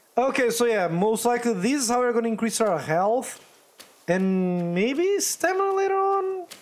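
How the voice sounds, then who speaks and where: An animated tone at a moderate pace comes through noticeable background noise. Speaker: gaming YouTuber. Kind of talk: gameplay commentary, casual. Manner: animated, chatty, reacts out loud.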